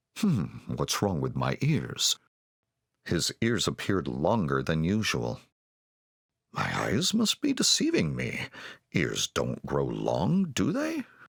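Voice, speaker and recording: A man uses a put-on character voice pitched very deep and low. He goes at a fairly slow pace with long, frequent pauses. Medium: read story. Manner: regal, commanding.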